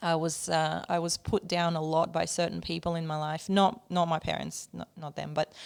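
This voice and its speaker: A woman's fairly low voice, flat and monotone, with hardly any pauses. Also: moderate pace. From Ukraine. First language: not English (third language). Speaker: musician and songwriter. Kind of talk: interview.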